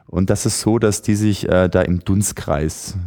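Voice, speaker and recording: A man's dark, mellow voice at a fairly slow pace, in a very clean recording with a silent background. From Swabian Jura, southern Germany. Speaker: app developer. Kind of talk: casual interview.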